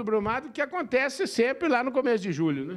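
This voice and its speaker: An animated man at an extremely high pitch for a man and a fairly quick pace, against a quiet background. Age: 50s. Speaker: interviewer. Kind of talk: interview. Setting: in-person interview. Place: home room. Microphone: handheld.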